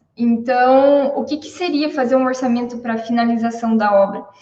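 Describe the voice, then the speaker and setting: There is audible room echo as a woman with a high pitch speaks at a moderate pace with fairly even intonation. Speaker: civil engineer, cost estimator. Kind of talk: live stream talk, informal lecture.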